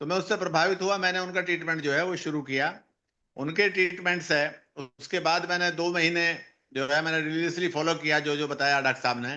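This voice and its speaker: This man has a high-pitched voice. His intonation is fairly even. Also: moderate pace. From northern India (Uttar Pradesh). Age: 60s. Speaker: cancer patient giving testimonial. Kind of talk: patient testimony.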